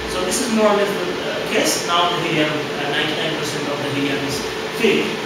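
Loud noise fills the background. The room adds an audible echo. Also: man, ordinary pitch variation, moderate pace. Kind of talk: tutorial. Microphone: camera far.

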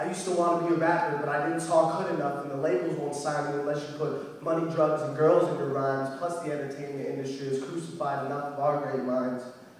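Amid strong room echo, a man with a fairly high pitch talks at a very fast pace with fairly even intonation. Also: hardly any pauses. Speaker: poet. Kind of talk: spoken word poetry performance. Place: hall. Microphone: camera far.

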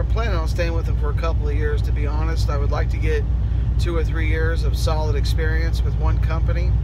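A man at a moderate pace, dry with no echo, over loud background noise. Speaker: truck driver trainer. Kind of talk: casual vlog chat. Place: car. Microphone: phone near.

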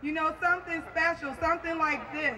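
A woman's raised, projected voice, bright and sharp in tone, amid noticeable background noise. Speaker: community show host. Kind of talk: public address to an outdoor crowd. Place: stage. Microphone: pa.

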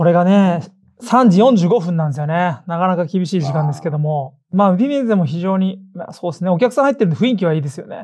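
A man's high-pitched voice at a very fast pace. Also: lively intonation. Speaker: football podcast host. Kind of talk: casual chat. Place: studio.

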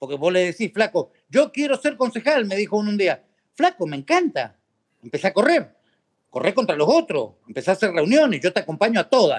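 Against a quiet background, a man with a high voice speaks at a fairly quick pace with very wide pitch swings. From Argentina, Mendoza; Argentina. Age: 50s. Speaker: political activist; podcast guest. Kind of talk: interview. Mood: animated, storytelling. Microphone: video call.

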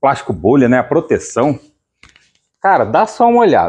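Light background noise sits behind a man's voice. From interior of São Paulo, Brazil. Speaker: channel host and keg buyer. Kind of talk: sales pitch, casual pitchman-style promo to camera. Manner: casual, chatty, upbeat; repetitive, salesy, with filler "né". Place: shop. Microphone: phone near.

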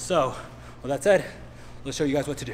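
Very fast speech from a man, with audible room echo and noticeable background noise. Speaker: fitness trainer. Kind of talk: exercise tutorial. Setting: gym. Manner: casual, energetic.

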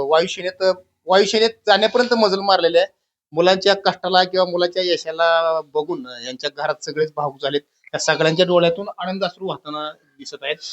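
A man's high-pitched voice with ordinary pitch variation, dry and close with no echo. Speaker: local news reporter. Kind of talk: field interview. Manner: repetitive.

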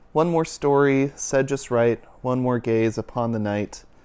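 In a sing-song way, a man at medium pitch speaks at a fairly slow pace in a dark, mellow tone that is soothing and calm. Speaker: youth and families minister reading a picture book. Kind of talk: bedtime story read aloud to children, rhythmic rhyming verse. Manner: warm, gentle, sing-song cadence; soothing, slow and calm. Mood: gentle, soothing. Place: home room. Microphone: lapel.

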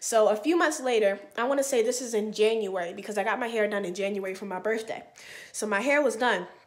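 Over a quiet background, a woman talks very fast in an animated tone, her pitch fairly high with ordinary variation. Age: 20s. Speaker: vlogger; hair vlogger. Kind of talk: casual storytelling vlog. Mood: animated, storytelling, mildly exasperated. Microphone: webcam.

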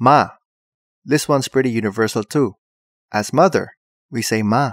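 With a Filipino accent, a man is heard in a dry, close sound with no echo on a very clean recording against a silent background. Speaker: tutorial presenter. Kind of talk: comedic tutorial. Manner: animated, humorous.

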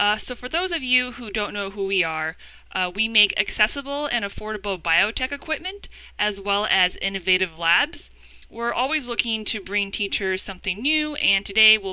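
The recording is dry, with no echo. A woman speaks at a moderate pace. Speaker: educator presenting a webinar. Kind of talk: webinar presentation. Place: home room. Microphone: webcam.

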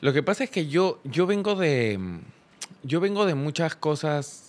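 A man with lively intonation. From Peru. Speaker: youtuber. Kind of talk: interview. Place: studio. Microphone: studio mic.

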